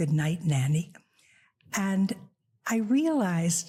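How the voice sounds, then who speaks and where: A woman's somewhat breathy, dark and mellow voice at a medium pitch and a fairly slow pace, in a very clean recording with a silent background. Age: 90s. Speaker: author. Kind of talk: casual chat.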